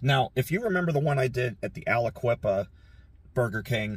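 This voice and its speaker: A somewhat breathy man talks at a moderate pace, and the sound is dry with no echo. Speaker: urban exploration vlogger. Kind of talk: casual vlog chat. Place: car. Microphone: phone near.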